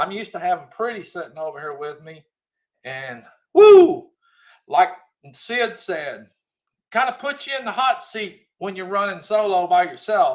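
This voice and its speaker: An animated man's voice, high-pitched, with very wide pitch swings, big swings in loudness, a moderate pace and long, frequent pauses. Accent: Southern US. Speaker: livestream host. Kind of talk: casual live chat reading comments. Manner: animated, raised voice.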